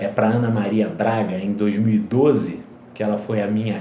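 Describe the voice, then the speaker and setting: Heard with audible room echo, a man speaks at a medium pitch. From Brazil, Rio de Janeiro. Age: 60s. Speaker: regenerative medicine specialist. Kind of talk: interview.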